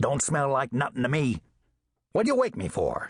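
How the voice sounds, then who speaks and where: A man growls through a put-on character voice at a fairly high pitch and a moderate pace. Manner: growling, irritable.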